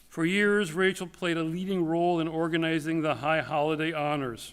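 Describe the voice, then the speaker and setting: A man speaks loudly at a moderate pace. His pitch is high, and his intonation is fairly even. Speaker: rabbi. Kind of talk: eulogy. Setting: synagogue sanctuary.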